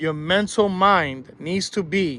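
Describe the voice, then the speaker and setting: Bright and sharp in tone, a man sounds animated, his pitch varying in an ordinary way. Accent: New York. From New York. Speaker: school bus driving instructor. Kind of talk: tutorial.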